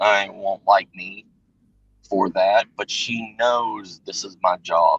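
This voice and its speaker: A very slow Southern US accent with a dry, close sound with no echo. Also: man. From US South. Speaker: livestream guest, works in protection. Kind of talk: casual chat. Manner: halting, repeats words.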